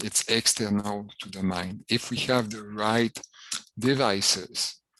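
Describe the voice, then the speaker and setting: Against a quiet background, a man with a French accent speaks very slowly in a fairly low pitch, his intonation monotone and flat. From Quebec. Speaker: professor. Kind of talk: lecture. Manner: hesitant, frequent fillers.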